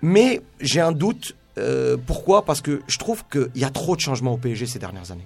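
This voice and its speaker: A man's lively intonation carries over background music. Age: 30s. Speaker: youth football coach and scout. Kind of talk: radio sports debate.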